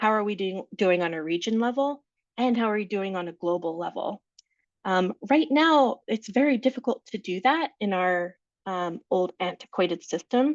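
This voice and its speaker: Lively intonation marks a woman's ordinary speaking voice at medium pitch. She talks at a moderate pace. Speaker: staff trainer presenting a webinar. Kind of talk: webinar Q&A. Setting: Zoom webinar.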